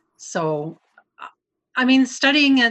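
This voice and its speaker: Here a woman is speaking. She talks in a Canadian prairie accent. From Canadian prairies. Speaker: glass sculptor. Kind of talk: casual chat.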